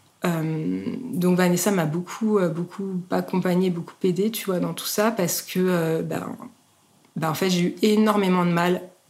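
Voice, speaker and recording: A woman talks at a fairly slow pace. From France, Haute-Savoie (Annecy). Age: 30s. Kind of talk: testimony. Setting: at home. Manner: hesitant, many fillers.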